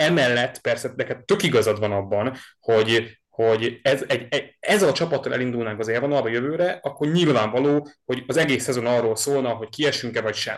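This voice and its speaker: With an unremarkable speaking voice, a man speaks at a fairly quick pace and medium pitch, using ordinary pitch variation and hardly any pauses. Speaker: podcast host, sports fan. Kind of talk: casual sports podcast chat.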